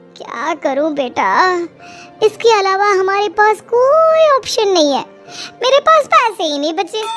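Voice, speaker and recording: A woman's cartoonish character voice, extremely high in pitch with very wide pitch swings, at a fairly slow pace over clear music in the background. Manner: affectionate but calculating.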